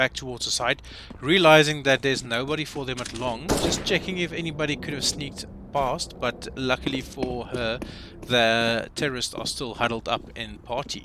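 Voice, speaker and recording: A man at medium pitch and moderate pace, with noticeable background noise. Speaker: esports caster. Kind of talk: live commentary. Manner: stumbling over words.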